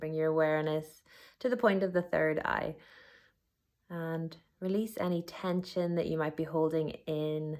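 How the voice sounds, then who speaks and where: Calm and fairly even in intonation, a woman speaks in a very deep, low voice with long, frequent pauses. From Northern Ireland. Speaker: yoga teacher; meditation guide. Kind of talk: guided body scan meditation. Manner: slow, calm.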